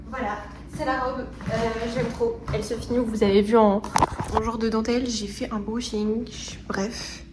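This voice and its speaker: A woman's fairly high, monotone voice with flat intonation and long, frequent pauses, amid audible room echo and noticeable background noise. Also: moderate pace. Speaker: lifestyle vlogger. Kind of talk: vlog. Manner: casual, hesitant with fillers; loud.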